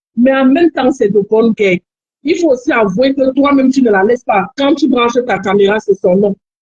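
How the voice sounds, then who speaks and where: With a Cameroonian accent, a woman speaks in a high voice with lively intonation. The sound is dry and close, with no echo. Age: young. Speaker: caller. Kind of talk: advice call on live stream. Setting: phone call.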